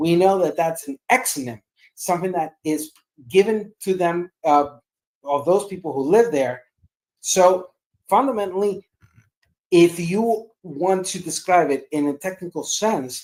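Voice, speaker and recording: A woman with a non-native accent, a fairly low voice and an animated tone, lively in intonation, at a fairly slow pace with long, frequent pauses. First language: not English. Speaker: debate panelist. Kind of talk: heated debate.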